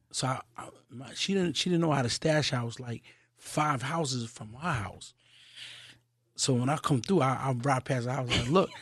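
A man's somewhat breathy voice, ordinary pitch variation and a moderate pace. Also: medium pitch for a man. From Queens, New York. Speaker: hip-hop podcast creator. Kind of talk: casual interview chat.

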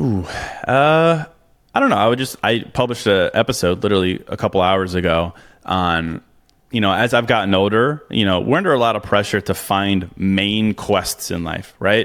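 A man with a normal speaking voice, a fairly low pitch and a moderate pace. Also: ordinary pitch variation. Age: 30s. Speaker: author and podcast host. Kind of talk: interview.

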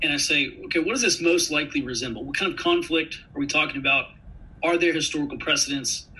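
At a very fast pace, a man with an American accent speaks over noticeable background noise. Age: 30s. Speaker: intelligence analyst and army veteran. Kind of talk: interview.

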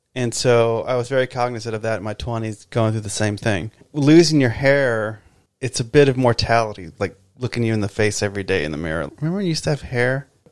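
Lively intonation and a fairly quick pace in an ordinary speaking voice. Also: man. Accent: American. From Texas. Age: 40s. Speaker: musician. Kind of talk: casual chat.

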